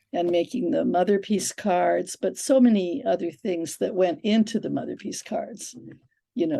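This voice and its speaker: A woman speaks at a medium pitch in a dark, mellow tone, with lively intonation and some vocal fry. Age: 70s. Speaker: spiritual teacher. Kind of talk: podcast interview.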